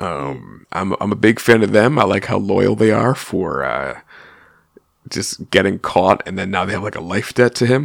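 This man speaks at a moderate pace in a fairly low voice with vocal fry and lively intonation. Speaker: podcast co-host. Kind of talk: casual chat. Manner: joking.

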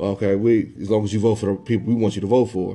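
A fairly low-pitched male voice with a dark, mellow tone and ordinary pitch variation. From US Midwest, southern Illinois near St. Louis. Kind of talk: casual religious discussion. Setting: podcast recording, live.

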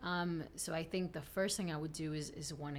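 Her pitch fairly low for a woman, she uses a normal speaking voice with ordinary pitch variation. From South Texas (Rio Grande Valley), born in Tamaulipas, Mexico. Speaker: attorney. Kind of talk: interview.

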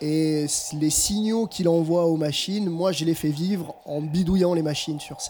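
A man's high voice with fairly even intonation comes through audible room echo and noticeable background noise. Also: moderate pace. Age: 40s. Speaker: musician. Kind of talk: casual interview. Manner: halting.

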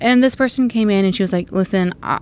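A woman's medium-pitched, a normal speaking voice at a fairly quick pace. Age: 20s. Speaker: dietitian and business owner. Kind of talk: casual chat.

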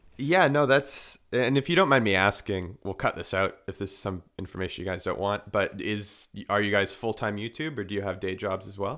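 A man with a bright, sharp tone speaks fairly quickly at a fairly low pitch with ordinary pitch variation and hardly any pauses. The recording is very clean, with a silent background. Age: 20s. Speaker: podcast co-host. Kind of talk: casual interview chat.

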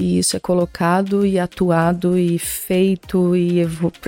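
Recorded with a dry, close sound and no echo, a woman speaks in a fairly low pitch with fairly even intonation. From Minas Gerais, Brazil. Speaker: brand art director. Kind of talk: interview.

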